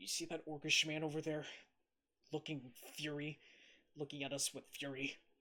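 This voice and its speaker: Using a put-on character voice, a man speaks at a moderate pace in a fairly high pitch with monotone, flat intonation and long, frequent pauses. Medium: actual play. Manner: emotional, agitated.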